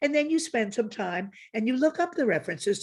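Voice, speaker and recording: A woman's lively intonation at a moderate pace, on a very clean recording with a silent background. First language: German. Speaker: professor. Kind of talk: lecture-style conversation.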